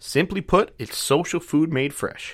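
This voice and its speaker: The recording is very clean, with nothing in the background. A man talks with an American accent. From downstate New York. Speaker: podcast host. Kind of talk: casual chat.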